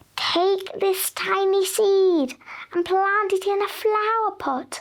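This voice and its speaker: Putting on a squeaky character voice at an extremely high pitch, a woman speaks at a very slow pace with very even loudness. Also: ordinary pitch variation. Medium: read story.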